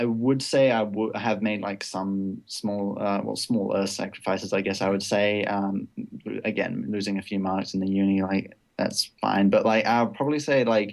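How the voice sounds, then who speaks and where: A man with a slight British accent and a fairly low pitch speaks at a moderate pace with fairly even intonation. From Britain. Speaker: esports player. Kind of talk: casual interview.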